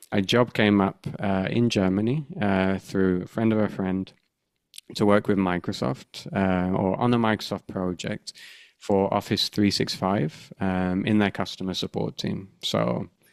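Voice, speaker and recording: A man with a British accent, fairly low in pitch, at a fairly slow pace with ordinary pitch variation, in a dry, close sound with no echo on a very clean recording with a silent background. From UK. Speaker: podcast host, UX researcher. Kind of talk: casual podcast conversation. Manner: halting, many fillers and restarts.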